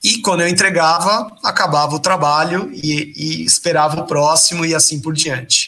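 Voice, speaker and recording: With a normal speaking voice, a man talks at a moderate pace in a fairly high pitch, using ordinary pitch variation and hardly any pauses. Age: 30s. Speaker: presentation designer. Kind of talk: interview. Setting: live stream.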